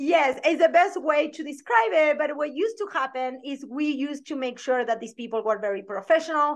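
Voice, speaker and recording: With a strong Argentine accent, a woman speaks fairly quickly at a high pitch with lively intonation. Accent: thick Argentine Spanish. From Argentina. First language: Spanish. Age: 40s. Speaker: branding photographer and business coach. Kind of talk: podcast interview.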